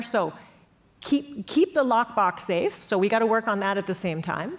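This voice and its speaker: Very wide pitch swings from a woman speaking in an American accent. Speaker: panelist on European security policy. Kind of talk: panel discussion. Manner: animated.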